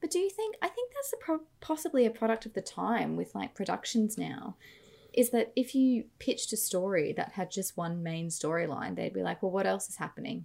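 Speaking at a fairly quick pace, a woman talks with an Australian accent. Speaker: podcast co-host. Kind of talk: casual chat.

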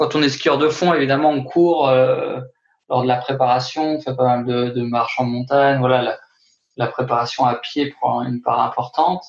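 A man's medium pitch, fairly even intonation and moderate pace. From France, Haute-Savoie. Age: 30s. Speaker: trail runner. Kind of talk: interview. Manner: halting.

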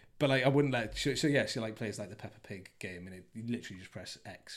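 With an English accent, a man speaks at a very fast pace, somewhat breathy and medium in pitch. The recording is very clean, with a silent background. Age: 30s. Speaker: father interviewed about parenting. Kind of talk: casual chat. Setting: host's dining room.

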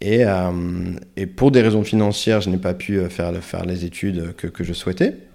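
With a dark, mellow tone and very deep, low pitch, a man talks at a moderate pace with fairly even intonation. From northern France (Nord-Pas-de-Calais), Portuguese family. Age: 30s. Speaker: long-term traveller. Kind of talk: interview. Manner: halting, many hesitations and repetitions.

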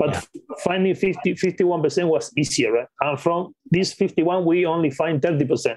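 With a Spanish accent, a man speaks at a very slow pace in a high pitch, with fairly even intonation and very even loudness. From Patagonia, Argentina. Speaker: acquisitions investor. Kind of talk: interview.

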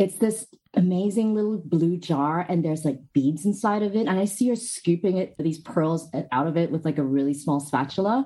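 The voice has a dark, mellow tone, lively intonation and a moderate pace. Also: woman, fairly low pitch for a woman. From Hong Kong. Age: 30s. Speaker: skincare brand founder. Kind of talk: interview. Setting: video call.

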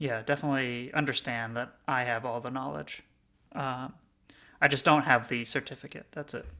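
In a very clean recording with a silent background, a man with a medium pitch and a bright, sharp, deadpan tone speaks at a moderate pace with long, frequent pauses. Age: 30s. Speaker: podcast host. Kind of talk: casual chat. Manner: halting, many fillers.

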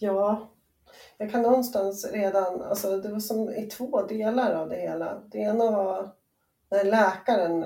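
A woman's dark, mellow tone at a fairly slow pace, with fairly even intonation. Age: 40s. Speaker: entrepreneur and bereaved mother. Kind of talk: personal testimony interview. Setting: remote call. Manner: halting, hesitant.

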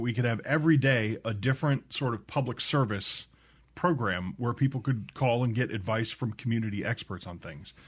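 In a plain, everyday voice, a man talks at a fairly quick pace with ordinary pitch variation. The background is quiet. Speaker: radio producer. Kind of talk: casual radio chat. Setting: radio studio.

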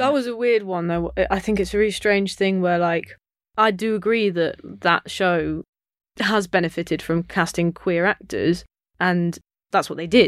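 A woman with a normal speaking voice, medium pitch and ordinary pitch variation at a moderate pace, on a very clean recording with a silent background. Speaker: comedian. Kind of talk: casual chat. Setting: studio.

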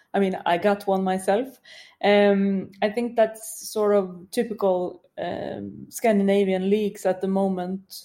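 A woman talks at a fairly slow pace with a Swedish accent. Her tone is dark and mellow, her intonation monotone and flat. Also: medium pitch for a woman. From Sweden. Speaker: football commentator. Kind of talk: casual chat. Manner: halting.

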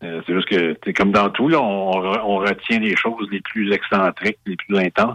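A plain, everyday voice from a man, fairly low in pitch, at a moderate pace, in a dry, close sound with no echo. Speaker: beer expert and author. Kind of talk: interview. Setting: radio studio.

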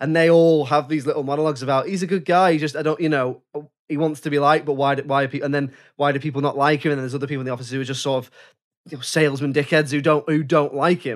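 Very fast, monotone speech from a man with a fairly high pitch, flat in intonation, on a very clean recording against a silent background. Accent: English. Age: 30s. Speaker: podcast host. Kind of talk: casual chat.

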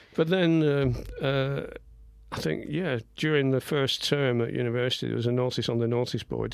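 Speaking at a fairly quick pace, a man with a Lancashire accent uses ordinary pitch variation. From northern England, Blackburn, Lancashire. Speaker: visual artist. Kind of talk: radio interview. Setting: radio studio. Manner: halting.

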